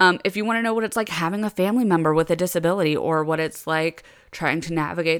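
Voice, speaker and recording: On a very clean recording with a silent background, a woman uses an ordinary speaking voice, fairly low in pitch, at a moderate pace with lively intonation. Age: 20s. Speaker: podcast host and special education teacher. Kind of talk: solo casual monologue. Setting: recording alone at home computer. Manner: rambling with fillers and laughs.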